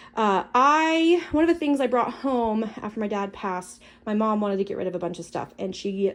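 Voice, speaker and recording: A woman with a medium pitch talks at a fairly quick pace with lively intonation. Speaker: prepping youtuber. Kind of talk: product haul walkthrough. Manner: fast; casual with many fillers.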